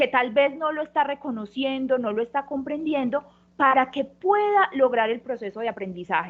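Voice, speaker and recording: Speaking with a high pitch, a woman talks in a Colombian paisa accent. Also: lively intonation. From Colombia, Antioquia (paisa). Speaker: university professor. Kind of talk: panel discussion. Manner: fast; hesitant, many fillers.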